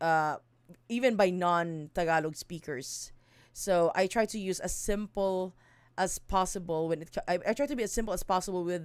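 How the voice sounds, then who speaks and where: With a Visayan Filipino accent, a woman speaks at a moderate pace and medium pitch, with ordinary pitch variation. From Mindanao, Philippines. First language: Bisaya (Cebuano). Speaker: streamer and song translator. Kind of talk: casual live stream explanation. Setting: live stream. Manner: halting, many fillers and self-corrections.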